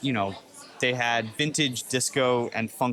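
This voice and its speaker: Noticeable background noise sits behind a man with a Long Island accent. He speaks at a moderate pace and a medium pitch. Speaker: music podcast co-host, drummer. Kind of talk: casual chat.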